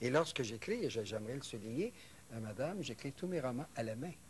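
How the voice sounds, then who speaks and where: Over light background noise, a man speaks at a moderate pace and a medium pitch in a somewhat breathy voice with lively intonation. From Quebec. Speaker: novelist; guest. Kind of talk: interview. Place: studio.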